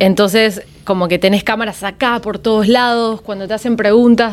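The pace here is moderate. It is an unremarkable speaking voice. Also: woman. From Miami, US (Argentine family, moved at five). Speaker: singer, former singing-contest contestant. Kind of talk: podcast interview, casual chat. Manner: frequent Spanish-English code-switching.

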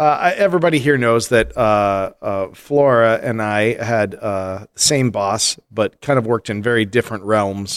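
A man talks at a fairly slow pace with few pauses, his fairly low voice clear and smooth in a dry, close sound with no echo. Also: ordinary pitch variation, very clean recording, silent background.

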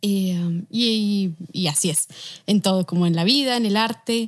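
A woman's voice at medium pitch, very slow pace and ordinary pitch variation, on a very clean recording with a silent background. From Bogotá, Colombia. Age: 20s. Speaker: illustrator. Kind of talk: interview conversation.

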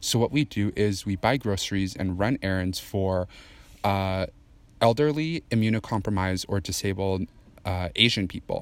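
This is a man with an unremarkable speaking voice and ordinary pitch variation, talking at a moderate pace. The recording is very clean, with a silent background. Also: fairly low pitch for a man. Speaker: guest. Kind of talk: casual chat.

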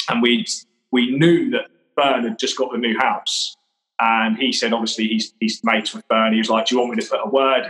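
Speaking at a very fast pace with an English accent, the man has medium pitch and ordinary pitch variation. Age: 30s. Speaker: interior fitter and business owner. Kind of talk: casual chat.

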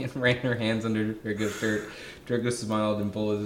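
Straightforward, plain reading aloud.

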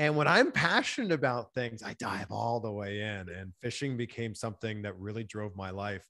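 This man has a normal speaking voice with a Canadian accent, ordinary pitch variation and a moderate pace, captured in a very clean recording against a silent background. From Ontario, Canada. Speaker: TV host and interviewer. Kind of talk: interview.

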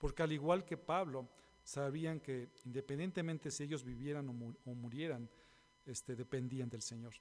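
This man has a normal speaking voice with a fairly high pitch. He talks at a moderate pace with ordinary pitch variation. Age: 50s. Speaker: pastor. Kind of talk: sermon.

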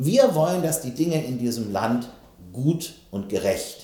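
Vocal fry and a dark, mellow tone, with very wide pitch swings and audible room echo. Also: man. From West Germany. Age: 50s. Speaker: politician. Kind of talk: interview. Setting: studio.

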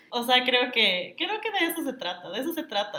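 Here a woman speaks in a high voice. Her intonation is lively. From Ecuador, Quito. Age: 30s. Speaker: influencer and marketing consultant. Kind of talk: casual interview. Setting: in person, same room.

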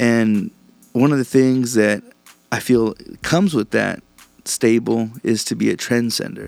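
With an American accent, a man talks at a fairly slow pace and medium pitch, his intonation fairly even, leaving long, frequent pauses over music in the background. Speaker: podcast host. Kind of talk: angry rant. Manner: profane, fired-up, riled and agitated, spitting out insults and swearing.

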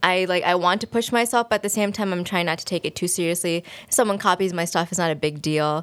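Talking at a very fast pace, a woman with an American accent uses a fairly low pitch and ordinary pitch variation. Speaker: graduate student and illustrator. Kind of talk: interview.

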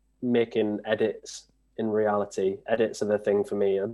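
This man has a fairly low voice and a Yorkshire accent. He talks at a moderate pace with fairly even intonation. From northern England. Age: 30s. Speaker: trials bike rider. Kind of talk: casual interview.

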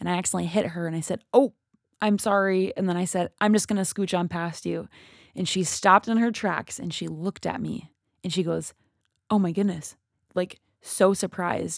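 With an Upper Midwest accent, this voice moves at a fairly quick pace and keeps a fairly even intonation. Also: woman, medium pitch for a woman. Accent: Upper Midwest American. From Minnesota, US Midwest. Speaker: podcast co-host. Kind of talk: casual chat.

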